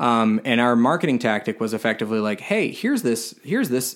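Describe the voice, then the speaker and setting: This is an unremarkable speaking voice, a man with an American accent. His intonation is lively and his pace fairly quick. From Florida (Tampa). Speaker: filmmaker. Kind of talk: casual interview chat. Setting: in person at host's home.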